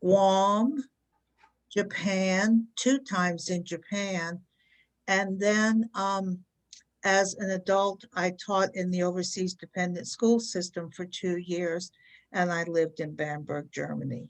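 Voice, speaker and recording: Speaking at a very slow pace, a woman with an American accent keeps a medium pitch and ordinary pitch variation. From Virginia, US. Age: 70s. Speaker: senior pageant titleholder, retired teacher. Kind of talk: interview.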